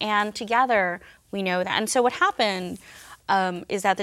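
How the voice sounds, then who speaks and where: Captured in a very clean recording with a silent background, a woman with an American accent speaks at a fairly quick pace in a medium pitch with a bright, sharp tone. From New York City, Upper West Side of Manhattan. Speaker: journalist and author. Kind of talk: interview.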